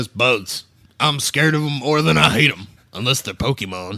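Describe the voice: A man puts on a gruff character voice at a medium pitch and a moderate pace.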